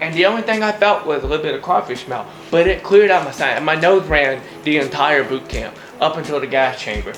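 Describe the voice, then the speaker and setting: With music in the background, a man in a Louisiana accent speaks at a very fast pace in an animated tone with lively intonation. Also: fairly high pitch for a man. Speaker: goalie and nutrition video host. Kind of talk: casual vlog monologue. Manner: rambling.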